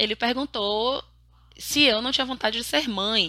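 A woman is speaking. She has a bright, sharp tone. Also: very clean recording, silent background. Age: 30s. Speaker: podcaster. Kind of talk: solo monologue podcast.

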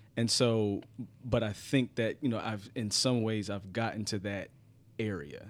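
The man has a normal speaking voice. His fairly low pitch stays fairly even as he talks at a fairly slow pace. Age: 30s. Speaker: podcast guest. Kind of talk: casual chat.

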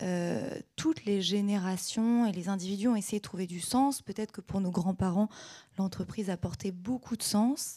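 This woman has a medium-pitched, somewhat breathy voice with a dark, mellow tone. She moves at a moderate pace with ordinary pitch variation. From Normandy, Caen. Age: 20s. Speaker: entrepreneur. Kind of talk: panel discussion on stage. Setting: stage with audience.

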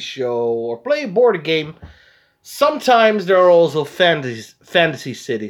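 Speaking with a Dutch accent, a man keeps to a moderate pace. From Netherlands, Arnhem area. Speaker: podcast host. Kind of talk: casual chat.

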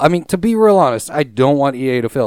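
An unremarkable speaking voice from a man, at a moderate pace with lively intonation. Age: 30s. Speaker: gaming podcast co-host. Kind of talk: casual chat. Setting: online call.

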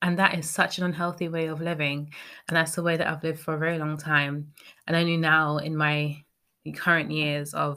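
Very clean recording, silent background: a woman with a British accent speaks at a fairly quick pace. Her very deep, low pitch stays in monotone, flat intonation. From Britain. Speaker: podcast host. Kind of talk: solo podcast monologue.

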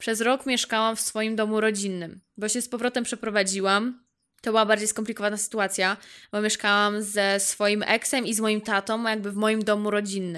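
In a very clean recording with a silent background, a woman speaks fairly quickly at a fairly high pitch. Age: 20s. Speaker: podcaster. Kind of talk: casual monologue. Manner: animated.

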